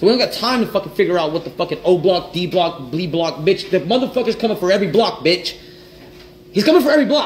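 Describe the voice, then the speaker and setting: Over light background noise, a man with an American accent talks very fast at a high pitch, his intonation lively. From US South, Louisiana. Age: 30s. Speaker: entrepreneur livestreamer. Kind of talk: casual livestream monologue. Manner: animated. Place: kitchen. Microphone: phone near.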